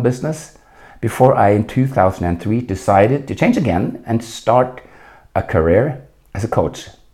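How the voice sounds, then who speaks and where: With a Norwegian accent, a man speaks at medium pitch in a dark, mellow, somewhat breathy tone with ordinary pitch variation. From Norway. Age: 60s. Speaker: leadership coach. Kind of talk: solo podcast monologue.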